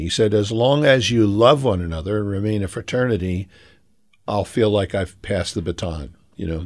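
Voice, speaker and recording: With an American accent, a plain, everyday voice speaks at a moderate pace with ordinary pitch variation on a very clean recording with a silent background. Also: man. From Philadelphia, US. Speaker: pastor. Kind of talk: interview. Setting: radio show.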